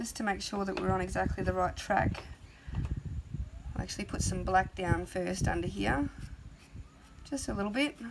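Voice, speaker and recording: A soft-spoken woman talks at a moderate pace with long, frequent pauses. Background noise is noticeable. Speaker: art tutor. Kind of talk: tutorial. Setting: outdoors on a veranda.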